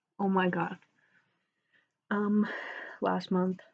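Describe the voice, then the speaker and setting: A soft-spoken woman. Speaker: book vlogger. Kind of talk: casual chat.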